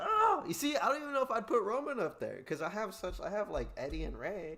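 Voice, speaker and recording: Over noticeable background noise, a man speaks at a fairly quick pace in an animated tone. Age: 20s. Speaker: wrestling podcast host. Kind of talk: casual chat. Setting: live stream.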